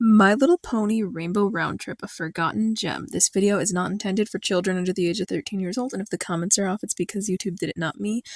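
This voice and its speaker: In a very clean recording with a silent background, a woman speaks at a very fast pace with hardly any pauses and ordinary pitch variation. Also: medium pitch for a woman. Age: young. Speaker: animated series reviewer. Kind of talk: video review narration.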